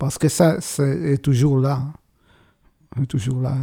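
With a dark, mellow tone and a somewhat breathy quality, a man talks at a medium pitch, his intonation fairly even. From Israel. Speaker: bandoneon player. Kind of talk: interview. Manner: halting.

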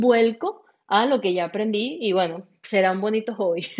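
A woman talks in a normal speaking voice. Her pitch is fairly high and varies in an ordinary way. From Venezuela. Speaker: franchise consultant. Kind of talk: interview.

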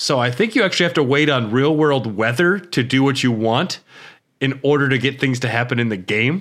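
An ordinary speaking voice talks at a fairly quick pace with ordinary pitch variation and very even loudness, captured in a very clean recording over a silent background. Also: man, medium pitch for a man. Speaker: podcast host. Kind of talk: casual chat. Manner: joking, laughs often.

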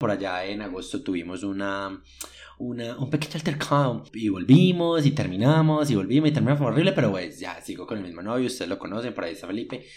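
With music in the background, a man in a Paisa Colombian accent speaks at a very fast pace and a medium pitch. His tone is animated, with very wide pitch swings and big swings in loudness. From Colombia, Medellín. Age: 20s. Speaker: podcast host. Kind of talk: casual solo monologue. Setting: at home.

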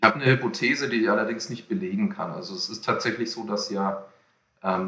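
Bright and sharp, the tone cuts through. Its pitch shifts only as much as usual. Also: man. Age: 30s. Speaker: entrepreneur and researcher. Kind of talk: podcast interview. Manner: halting, many fillers.

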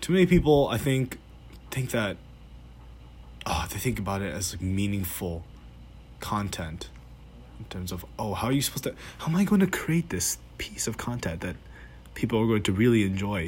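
A somewhat breathy man's voice of fairly low pitch, at a moderate pace, with lively intonation and long, frequent pauses. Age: young. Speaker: student podcaster. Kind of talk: solo voice memo monologue. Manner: hesitant, halting; shaky voice.

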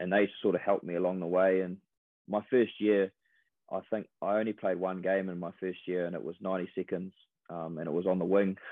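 A man's very deep, low voice in a New Zealand accent, fairly quick and with monotone, flat intonation. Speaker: professional rugby player. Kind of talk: casual interview.

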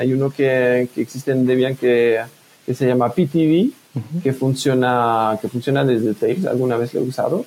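Moderate pace and fairly even intonation. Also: man, medium pitch for a man. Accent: French. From France. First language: French (speaking Spanish). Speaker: privacy software developer. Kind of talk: casual interview. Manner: hesitant, many fillers.

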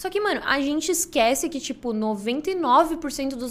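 A woman's voice over noticeable background noise. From Brazil, interior of Rio Grande do Sul. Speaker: streamer. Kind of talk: casual chat.

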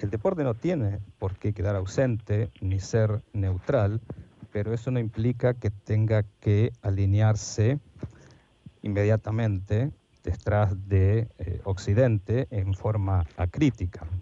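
A man talks at a very slow pace in a fairly low pitch, with a dark, mellow tone. His voice is somewhat breathy and his intonation fairly even. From Argentina, Buenos Aires area. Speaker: sport philosopher and historian. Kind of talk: interview. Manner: formal.

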